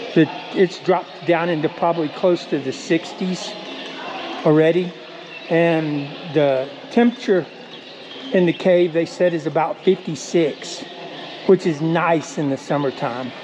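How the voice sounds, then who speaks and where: A man's high voice at a fairly slow pace, with long, frequent pauses, ordinary pitch variation and noticeable background noise. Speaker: vlogger taking missionaries on a trip. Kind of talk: casual vlog narration. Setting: outdoors in a cave. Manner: quiet, talking softly to camera.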